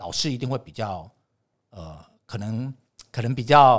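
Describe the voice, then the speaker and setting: With vocal fry, a man talks using lively intonation. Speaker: TV director and lecturer. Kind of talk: casual interview.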